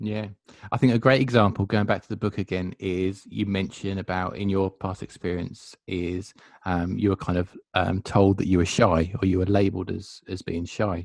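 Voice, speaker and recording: Over a quiet background, a man with a very deep, low voice and a Suffolk accent talks at a moderate pace with fairly even intonation, dry and close with no echo. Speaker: podcast host. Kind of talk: podcast interview.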